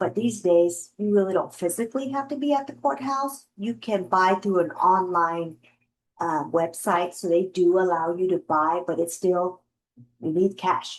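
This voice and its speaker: This is a plain, everyday voice. It moves at a fairly slow pace with lively intonation. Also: woman, medium pitch for a woman. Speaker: real estate investor and trainer. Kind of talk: lecture. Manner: casual.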